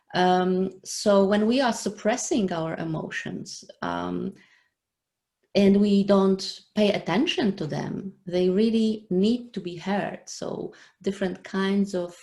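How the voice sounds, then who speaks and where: A woman with a non-native accent speaks at a very slow pace, her medium-pitched voice carrying a dark, mellow tone. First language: not English. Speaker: online show host. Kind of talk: live interview. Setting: live video stream. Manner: halting, many fillers.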